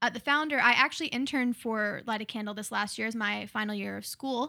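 On a very clean recording with a silent background, a woman speaks with an American accent. Her tone is bright and sharp, her pitch fairly high with ordinary variation, and her pace fairly quick. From Oklahoma City, US. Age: 20s. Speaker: musician and missionary. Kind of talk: casual interview. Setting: studio.

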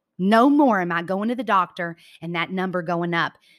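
A woman with an American accent speaks in an animated tone at a medium pitch and moderate pace, with ordinary pitch variation. The recording is very clean, with a silent background. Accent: Southern US, slight, comes out occasionally. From US South, Georgia. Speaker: podcast host, motivational speaker. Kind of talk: motivational talk.

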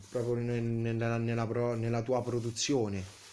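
The voice is a man's, pitched at a medium level. His tone is dark and mellow. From Italy, Tivoli (Lazio). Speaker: sculptor and painter. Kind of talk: interview. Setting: artist's studio. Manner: halting, many hesitations.

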